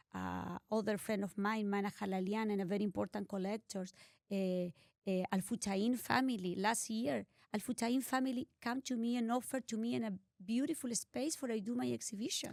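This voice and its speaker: Speaking in a Spanish accent, a woman has a fairly high pitch with ordinary pitch variation. Her pace is moderate, and the sound is dry and close with no echo. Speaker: art collector and philanthropist. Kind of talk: interview. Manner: halting.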